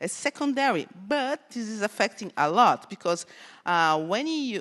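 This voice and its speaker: A woman with a Brazilian accent, medium pitch and very wide pitch swings, at a fairly slow pace in a dry, close sound with no echo and a quiet background. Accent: Brazilian Portuguese accent, noticeable. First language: Portuguese. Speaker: conference speaker, cybersecurity researcher. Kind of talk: conference talk. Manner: halting, many fillers.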